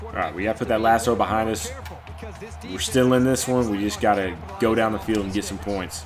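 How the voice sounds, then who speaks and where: The pace is fairly quick, with ordinary pitch variation. Clear music can be heard in the background. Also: man, fairly low pitch for a man. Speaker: gamer commentator. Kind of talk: live gameplay commentary.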